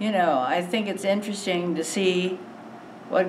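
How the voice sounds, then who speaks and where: A woman with an American accent speaks in a fairly low pitch. Audible room echo and noticeable background noise are present. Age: 90s. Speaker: elderly interviewee. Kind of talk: casual interview. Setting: mosque hall before congregation.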